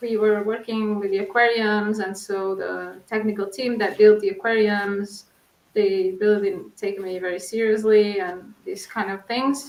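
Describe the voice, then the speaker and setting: A woman at a medium pitch speaks at a fairly slow pace in a Portuguese accent, with monotone, flat intonation. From Portugal. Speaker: researcher. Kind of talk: interview.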